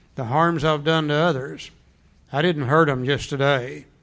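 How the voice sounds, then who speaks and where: Audible room echo surrounds a man speaking at a fairly high pitch and a moderate pace. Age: 70s. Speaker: recovery workshop speaker. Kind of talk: workshop lecture.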